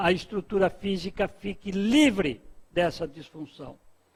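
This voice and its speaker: This man's voice has a bright, sharp tone. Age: 60s. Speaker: spiritist author. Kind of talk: talk at book launch. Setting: book launch event with audience.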